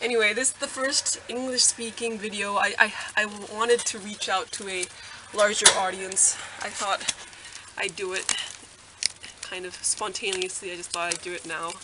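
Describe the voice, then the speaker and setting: A woman speaks at a moderate pace, her loudness swinging widely, with long and frequent pauses. Her intonation stays fairly even, and there is noticeable background noise. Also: medium pitch for a woman. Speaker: hamster keeper. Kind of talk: casual talk to camera. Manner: hesitant, many fillers.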